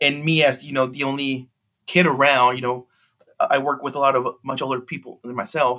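The man talks at a fairly quick pace in a fairly high pitch. His tone is bright and sharp, and his intonation is monotone and flat. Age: 30s. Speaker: auction house trading card specialist. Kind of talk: casual interview.

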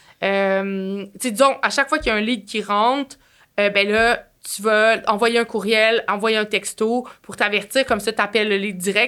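A woman speaks with a Quebec accent at a medium pitch. Her intonation is fairly even. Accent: Québécois French. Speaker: marketing agency entrepreneur. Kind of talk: casual interview.

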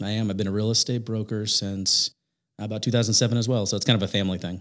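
In a very clean recording with a silent background, a man with a Midwestern American accent speaks very fast at a fairly low pitch, keeping his intonation fairly even. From Indiana. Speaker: digital marketing company manager. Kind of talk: interview.

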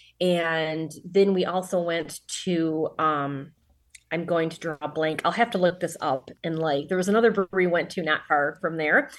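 Speaking at a moderate pace with an American accent, a woman uses a fairly low pitch and fairly even intonation, recorded very cleanly against a silent background. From Detroit suburbs, Michigan. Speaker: author and teacher. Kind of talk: casual interview.

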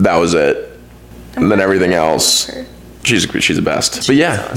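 Noticeable background noise sits behind a man with an American accent speaking at a fairly quick pace. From Texas, Dallas. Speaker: graduate student, former college athlete. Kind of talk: casual chat. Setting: family home.

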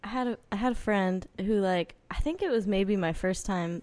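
The speaker has an American accent and an unremarkable speaking voice. The pace is moderate. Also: woman. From northern New Jersey. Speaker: singer-songwriter. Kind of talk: casual chat.

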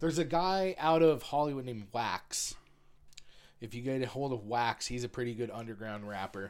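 A man with a plain, everyday voice talks at a moderate pace in a medium pitch with lively intonation, on a very clean recording with a silent background. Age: 40s. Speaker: comedian and videographer. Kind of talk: casual chat.

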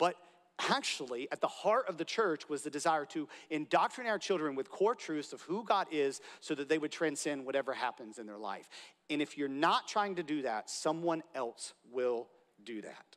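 A man's normal speaking voice, fairly high in pitch with lively intonation and a moderate pace, on a very clean recording with a silent background. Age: 30s. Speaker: pastor. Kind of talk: sermon. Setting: church.

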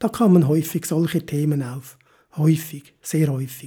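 On a very clean recording with a silent background, a man with a dark, mellow tone and fairly high pitch speaks at a fairly slow pace with fairly even intonation. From Switzerland. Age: 50s. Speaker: motivational podcaster. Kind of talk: motivational monologue.

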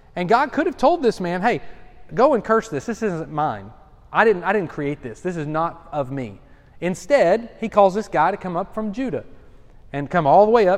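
The voice moves at a moderate pace and swings very widely in pitch. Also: man, high pitch for a man. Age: 40s. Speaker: pastor. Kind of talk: bible study teaching. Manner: casual, with many fillers.

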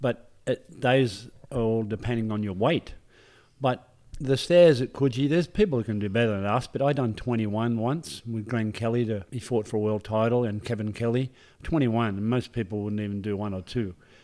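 A man speaks with an Australian accent at a fairly quick pace. His pitch is medium, with ordinary variation. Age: 60s. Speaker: personal trainer, former footballer. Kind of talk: casual interview.

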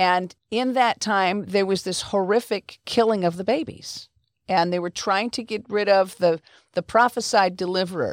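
In a normal speaking voice, a woman talks at a moderate speed and medium pitch, her intonation varying normally. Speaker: podcast host. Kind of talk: interview.

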